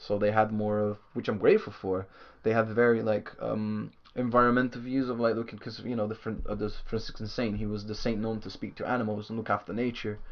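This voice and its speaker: A man's fairly quick, monotone delivery at a fairly low pitch, flat in intonation. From southern Brazil. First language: Portuguese. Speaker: bass player in a band. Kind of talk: casual chat.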